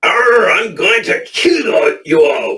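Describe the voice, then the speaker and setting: A man puts on a character voice at an extremely high pitch. It comes out gruff and growling. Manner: growling, menacing.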